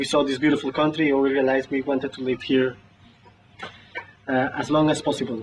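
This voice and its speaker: A man's fairly high-pitched voice with fairly even intonation over light background noise. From Colombia. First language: Spanish. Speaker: civil engineer. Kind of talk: interview answer. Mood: warm, grateful. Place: office.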